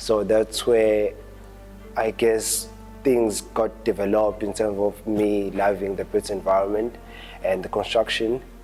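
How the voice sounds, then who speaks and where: Music plays in the background while a man talks at a fairly slow speed. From Pietermaritzburg, South Africa. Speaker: architecture graduate. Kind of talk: interview answer.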